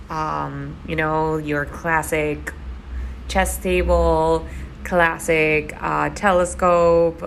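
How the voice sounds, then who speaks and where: A woman talks very slowly, with audible room echo around her voice. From Argentina. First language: Spanish. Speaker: gaming YouTuber. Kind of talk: voiceover commentary. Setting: voiceover recording at home. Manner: casual, many fillers and repetitions.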